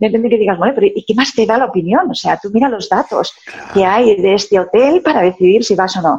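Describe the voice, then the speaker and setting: A woman speaks at a fairly quick pace in a plain, everyday voice with hardly any pauses. Her pitch is fairly high and her intonation lively. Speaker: sales consultant and author. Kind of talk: interview.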